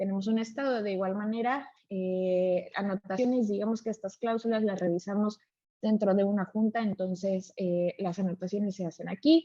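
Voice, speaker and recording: At a moderate pace, a woman speaks with a dark, mellow tone, medium pitch and fairly even intonation. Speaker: software trainer. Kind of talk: live webinar tutorial. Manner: frequent filler 'eh' hesitations.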